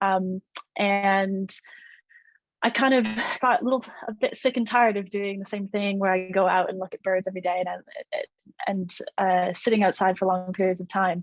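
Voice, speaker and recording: Someone with a Canadian accent speaks at a moderate pace, with long, frequent pauses. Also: woman, medium pitch for a woman, dry, close sound with no echo. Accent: Canadian, may sound American. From Canada, Nova Scotia (Cape Breton). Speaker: malaria researcher. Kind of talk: online educational talk with slides. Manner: casual, many filler ums.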